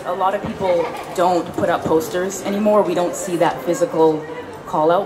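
A woman talks at medium pitch and a moderate pace. Her pitch variation is ordinary, and there is noticeable background noise. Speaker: writer and magazine editor. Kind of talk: panel discussion. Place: hall. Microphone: handheld.

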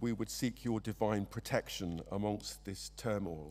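The speaker is a man with an English accent. He talks at a fairly slow pace. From England. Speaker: church member. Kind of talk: led prayer. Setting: church. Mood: solemn, calm. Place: church. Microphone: podium.

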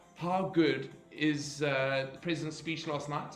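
Faint music plays in the background as a man speaks. The room echo is audible. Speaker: fitness instructor. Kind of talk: livestream announcements to class. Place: home room. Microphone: webcam.

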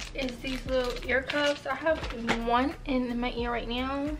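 High-pitched female speech against noticeable background noise. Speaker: haul vlogger. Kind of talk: casual vlog chat. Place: home room. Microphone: camera far.

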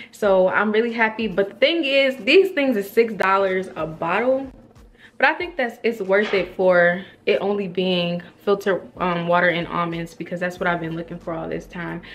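A woman talks at a moderate pace with ordinary pitch variation. Light background noise sits behind her. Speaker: vlogger. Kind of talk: casual vlog chat. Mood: upbeat, chatty. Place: home room. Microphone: phone near.

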